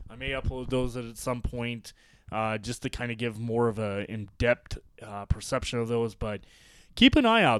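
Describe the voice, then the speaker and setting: An ordinary speaking voice from a man at medium pitch and a fairly slow pace, in a very clean recording with a silent background. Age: 30s. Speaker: sports podcast host. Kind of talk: solo podcast monologue.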